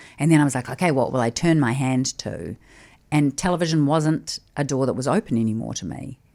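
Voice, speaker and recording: On a very clean recording with a silent background, a woman with a New Zealand accent speaks at a fairly quick pace in a very deep, low pitch with ordinary pitch variation. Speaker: podcast host, former TV presenter. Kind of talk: casual interview chat.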